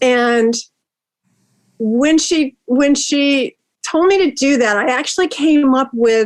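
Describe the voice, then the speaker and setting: A woman with an American accent speaks at a very slow pace, leaving long, frequent pauses. Her pitch is high and her loudness stays very even. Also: ordinary pitch variation. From US West Coast. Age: 70s. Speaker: meditation teacher and social media creator. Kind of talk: casual interview chat.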